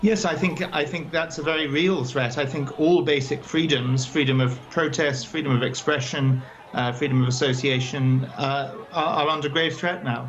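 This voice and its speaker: Noticeable background noise accompanies a man with a fairly high pitch who talks at a moderate pace with hardly any pauses and ordinary pitch variation. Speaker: co-founder and chair of a human rights advocacy group. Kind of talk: news interview answer.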